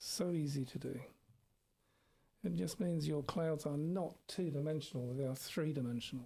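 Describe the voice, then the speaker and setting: Soft-spoken and somewhat breathy, a man with a fairly high pitch and a dark, mellow tone speaks with ordinary pitch variation, very even loudness and long, frequent pauses. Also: moderate pace. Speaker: art teacher. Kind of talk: tutorial. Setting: live stream.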